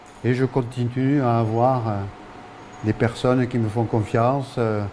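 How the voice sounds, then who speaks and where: The delivery is very slow, with fairly even intonation. Noticeable background noise sits behind it. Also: man. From France, Ariège. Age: 70s. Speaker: local author and poet. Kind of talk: interview. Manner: hesitant, many fillers.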